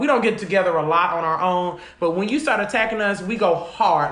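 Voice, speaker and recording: A woman with a medium pitch is heard with audible room echo and noticeable background noise. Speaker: podcast co-host. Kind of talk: casual chat. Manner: loud; animated.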